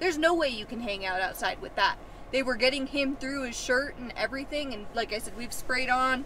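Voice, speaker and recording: A woman's high-pitched, raised and projected voice at a fairly quick pace, with ordinary pitch variation, big swings in loudness, a dry sound with no echo and light background noise. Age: 20s. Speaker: travel nurse assistant and vlogger; vlogger. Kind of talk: casual chat. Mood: animated, a bit exasperated.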